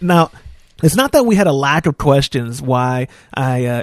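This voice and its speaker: At a moderate pace, a man with an unremarkable speaking voice and a fairly high pitch sounds dry and close with no echo. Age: 20s. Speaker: podcast host. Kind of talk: casual chat.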